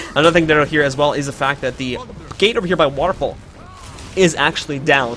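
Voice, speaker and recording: A man's fairly high voice at a very fast pace, over noticeable background noise. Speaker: esports tournament caster and organizer. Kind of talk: live commentary. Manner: animated.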